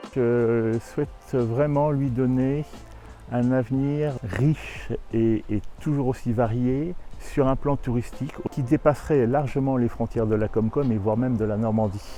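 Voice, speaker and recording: With music in the background, a man talks with fairly even intonation. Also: medium pitch for a man. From Burgundy, France. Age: 60s. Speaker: abbey owner. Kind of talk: interview.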